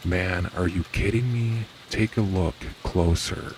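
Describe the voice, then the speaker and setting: A man's put-on character voice, very deep and low, at a fairly slow pace with fairly even intonation over clear background noise. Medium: read story. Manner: urgent, panicked.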